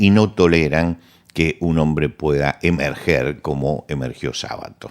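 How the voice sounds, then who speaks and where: A man with a Rioplatense accent and a very deep, low pitch speaks at a fairly slow pace with ordinary pitch variation, on a very clean recording with a silent background. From Argentina. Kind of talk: conversational interview, cultural commentary.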